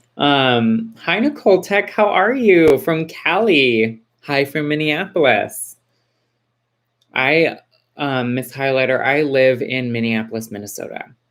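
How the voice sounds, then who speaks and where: With an American accent, a woman speaks in a very deep, low voice. Her intonation is lively and her pace fairly slow. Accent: suppressed Texas accent, slips out with y'all. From Texas. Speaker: livestream host. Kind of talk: casual live chat.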